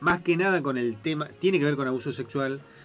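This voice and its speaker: A man's voice with music in the background. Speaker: lawyer, radio show guest. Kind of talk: radio talk show, legal commentary.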